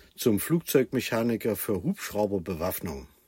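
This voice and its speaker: A man speaks at a fairly slow pace with a dark, mellow tone. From Germany, Thuringia. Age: 60s. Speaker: traffic manager. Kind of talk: interview.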